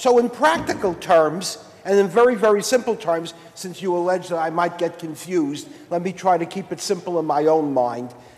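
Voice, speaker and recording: A man with an American accent speaks at a moderate pace over noticeable background noise. His high pitch shows ordinary variation. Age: 60s. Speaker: state senator. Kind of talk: legislative floor debate. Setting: senate chamber. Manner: formal.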